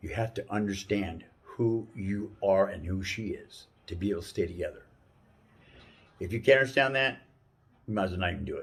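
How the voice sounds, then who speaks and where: Talking at a fairly quick pace broken by long, frequent pauses, a man with a fairly low, somewhat breathy voice shows ordinary pitch variation. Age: 60s. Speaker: life advice giver. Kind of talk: casual talk. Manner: halting.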